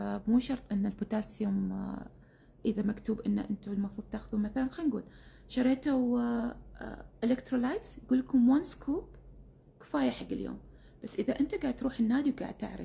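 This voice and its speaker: A woman speaks at a fairly quick pace in a fairly high pitch with ordinary pitch variation. Her tone is dark and mellow, with vocal fry. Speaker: keto diet influencer. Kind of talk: instagram live chat. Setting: instagram live stream. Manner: casual with many fillers.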